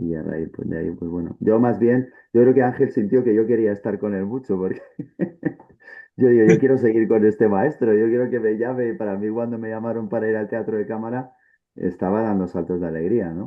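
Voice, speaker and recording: A man speaks in a plain, everyday voice. His pitch is medium and his pace fairly quick. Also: ordinary pitch variation. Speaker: stage actor. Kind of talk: panel discussion.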